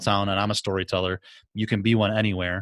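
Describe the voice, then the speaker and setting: An enthusiastic man with a Midwestern American accent, very fast, the sound dry with no echo. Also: quiet background. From US Midwest. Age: middle-aged. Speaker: podcast host. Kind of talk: interview conversation. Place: home room. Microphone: studio mic.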